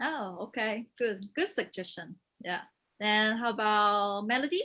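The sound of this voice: Her tone is bright and sharp as this woman speaks at a fairly slow pace and medium pitch, with lively intonation.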